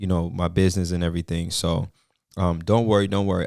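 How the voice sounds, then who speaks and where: In a very clean recording with a silent background, the speaker talks with fairly even intonation in a Jamaican accent. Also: man. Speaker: trucking business owner, video creator. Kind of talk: casual tutorial vlog.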